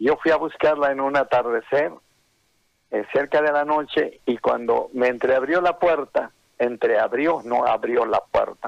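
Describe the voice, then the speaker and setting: The voice stays at a very even loudness at a fairly slow pace, with a dry, close sound and no echo. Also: man. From Bolivian highlands, Oruro. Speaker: songwriter. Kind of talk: interview.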